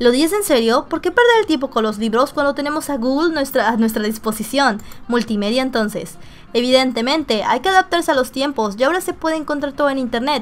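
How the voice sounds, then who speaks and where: Faint music plays in the background as a woman speaks in a Mexican accent. Her voice is high, her pace fairly quick and her intonation lively. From Mexico. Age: 20s. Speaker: gaming streamer. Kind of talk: reading game dialogue aloud.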